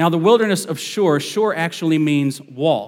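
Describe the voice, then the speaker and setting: A man's fairly high voice, an unremarkable speaking voice at a moderate pace with ordinary pitch variation. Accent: American. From northern US. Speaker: associate pastor. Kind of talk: sermon. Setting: church.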